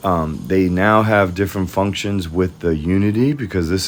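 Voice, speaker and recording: The man talks at a moderate pace. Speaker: 3D designer. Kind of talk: tutorial. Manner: monotone.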